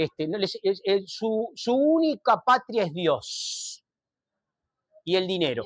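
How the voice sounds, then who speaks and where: Speaking at a very slow pace, a man in a Rioplatense accent uses a high pitch and lively intonation. The sound is dry and close, with no echo. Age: 60s. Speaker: speaker on politics and Judaism. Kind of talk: talk to an audience. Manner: hesitant, many fillers.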